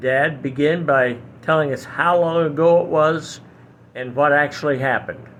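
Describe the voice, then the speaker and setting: Speaking at a moderate pace, a man with a normal speaking voice and a fairly high pitch keeps fairly even intonation but shows big swings in loudness. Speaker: son of a veteran. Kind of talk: casual talk to camera.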